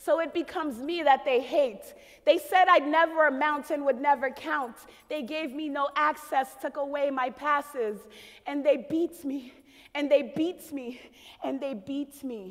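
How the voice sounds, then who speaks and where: Speaking at a fairly slow pace with a Haitian accent, a high-pitched woman shows big swings in loudness. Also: ordinary pitch variation. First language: Haitian Creole. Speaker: spoken word poet. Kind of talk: spoken word performance.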